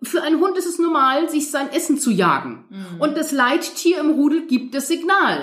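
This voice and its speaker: The speech flows at a moderate pace with ordinary pitch variation and hardly any pauses. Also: woman, high pitch for a woman. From northern Germany, near Hamburg. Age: 50s. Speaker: dog trainer. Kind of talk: interview.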